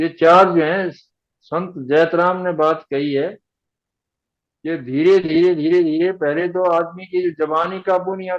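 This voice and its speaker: His voice sits high for a man, delivered in a monotone with flat intonation. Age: 80s+. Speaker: author of spiritual books. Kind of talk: interview about spiritual teachings.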